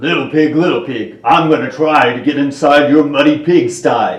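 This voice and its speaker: A man's put-on character voice, fairly high-pitched, at a moderate pace with a slight echo. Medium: read story.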